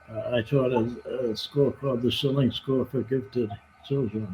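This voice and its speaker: Noticeable background noise sits behind a man with an American accent. His pitch is medium and his intonation fairly even. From Colorado, US (Denver). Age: 80s+. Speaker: retired teacher. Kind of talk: interview answers. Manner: halting, with many fillers.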